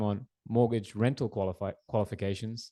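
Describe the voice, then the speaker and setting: The man's tone is dark and mellow, with an Australian accent. The background stays quiet. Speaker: mortgage broker. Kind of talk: presentation.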